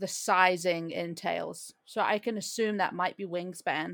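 The speaker is a woman. She goes at a fairly slow pace, and her pitch varies in an ordinary way. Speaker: podcast host. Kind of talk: casual comedic chat. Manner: animated, joking.

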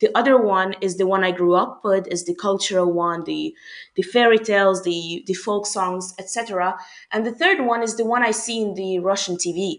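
A woman talks in a Hungarian accent at a moderate pace. Her pitch is medium with ordinary variation. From Hungary. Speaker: university student. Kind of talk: casual interview chat.

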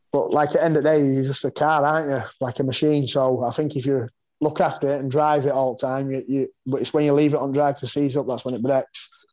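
This man talks very fast. His fairly high voice stays monotone and flat. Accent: Yorkshire. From West Yorkshire, northern England (mining village near Pontefract). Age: 40s. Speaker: martial artist and fighter. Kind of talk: casual interview chat.

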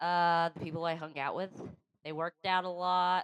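A woman talks at a fairly slow pace with a fairly low pitch. The sound is dry and close, without echo. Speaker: podcast co-host. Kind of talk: casual chat.

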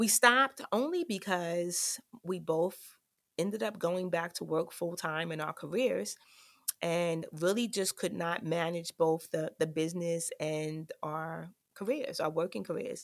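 A woman's fairly low-pitched, unremarkable speaking voice with an American accent, at a fairly slow pace with ordinary pitch variation. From New York, South Bronx. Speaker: college dean and podcast host. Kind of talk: solo podcast monologue. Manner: frequent filler words.

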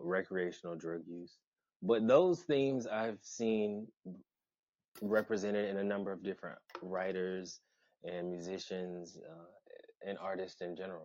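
With an American accent, a man talks in a very deep, low pitch and fairly even intonation. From US South, Atlanta, Georgia. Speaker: public school teacher. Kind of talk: casual chat.

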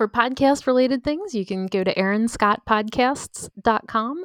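Recorded very cleanly with a silent background and a dry, close sound with no echo, a woman with an ordinary speaking voice and fairly high pitch talks at a moderate pace with ordinary pitch variation. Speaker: podcaster and former paralegal. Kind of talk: interview, personal story. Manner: casual, many fillers.

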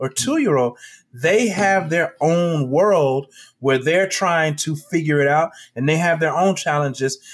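Here is an unremarkable speaking voice: a man with an American accent and a fairly high pitch. He talks at a fairly slow pace with lively intonation. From Chicago, South Side. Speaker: educator and entrepreneur. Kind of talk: casual interview.

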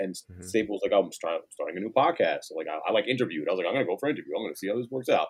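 A man with a New York accent. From Queens, New York City. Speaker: sneaker store manager and line organizer. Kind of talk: casual chat.

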